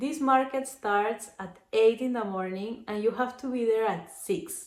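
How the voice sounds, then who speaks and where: At a fairly slow pace, a woman with a Spanish accent speaks in a fairly high pitch with ordinary pitch variation. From Peru. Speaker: crochet vlogger. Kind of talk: casual vlog. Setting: selfie camera. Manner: hesitant, with fillers.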